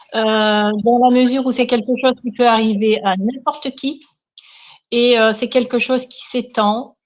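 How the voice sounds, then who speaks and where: With a quiet background, a woman speaks in a fairly high pitch with fairly even intonation. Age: 60s. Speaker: care assistant sharing her story. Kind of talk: interview testimony. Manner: hesitant, many fillers.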